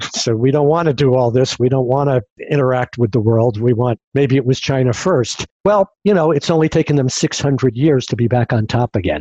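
A man speaks at a moderate pace in a medium pitch with ordinary pitch variation, his dark, mellow tone coming through in a dry, close sound with no echo and very even loudness. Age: 60s. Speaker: futurist and podcast host. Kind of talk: casual interview.

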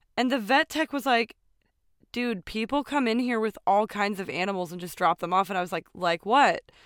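In a normal speaking voice, a woman at a fairly high pitch uses lively intonation at a moderate pace, heard in a dry, close sound with no echo on a very clean recording with a silent background. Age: 30s. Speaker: podcast co-host. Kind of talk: casual chat with storytelling.

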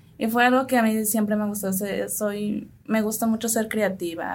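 Somewhat breathy and fairly even in intonation, a woman's voice carries audible room echo. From San Luis Potosí, Mexico (Tének community). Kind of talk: radio interview.

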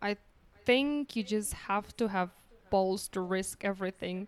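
A woman speaks with a Polish accent at medium pitch. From Poland. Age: 30s. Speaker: guest, freelance copywriter. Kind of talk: casual interview chat.

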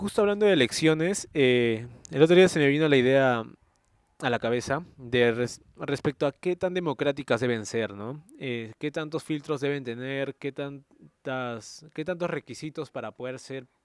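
A man with a normal speaking voice at a fairly high pitch shows ordinary pitch variation and big swings in loudness, in a dry, close sound with no echo. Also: fairly slow pace. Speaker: podcast host. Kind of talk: casual chat.

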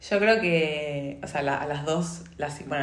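A woman with a very deep, low voice is heard over noticeable background noise and audible room echo. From Argentina. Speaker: podcast host, migration coach. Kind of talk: casual chat. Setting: home studio.

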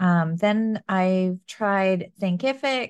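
A woman is speaking against a quiet background. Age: 30s. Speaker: business and marketing coach. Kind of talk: casual interview chat.

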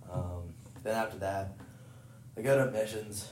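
A man talks while noticeable background noise and audible room echo fill the space. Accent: American. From rural western Maryland (Cumberland). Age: 20s. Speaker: college baseball player. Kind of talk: casual chat.

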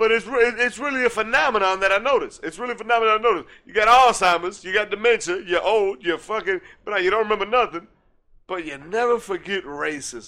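A man's raised, projected voice at a high pitch, bright and sharp in tone and very fast, in a very clean recording with a silent background. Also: ordinary pitch variation. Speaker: podcast co-host. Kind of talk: casual chat. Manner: halting.

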